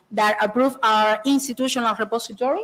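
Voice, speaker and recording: High-pitched speech from a woman, with ordinary pitch variation. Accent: Spanish. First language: Spanish. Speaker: university librarian presenter. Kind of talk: conference presentation. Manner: halting, many fillers.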